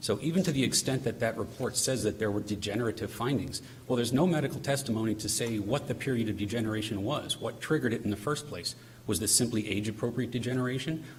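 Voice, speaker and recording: Spoken at a very fast pace with ordinary pitch variation, the voice carries audible room echo. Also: man, medium pitch for a man. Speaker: appellate attorney. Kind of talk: oral argument in court. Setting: courtroom. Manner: formal.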